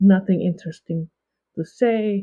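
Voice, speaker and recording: A woman talks at a very slow pace with a non-native accent. Her pitch is medium. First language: not English. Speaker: leadership coach and author. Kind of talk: podcast interview. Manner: halting.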